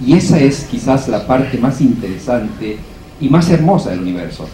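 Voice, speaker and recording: Amid noticeable background noise and audible room echo, a man at medium pitch speaks at a fairly slow pace with very wide pitch swings. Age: 60s. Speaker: architecture professor. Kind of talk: panel discussion.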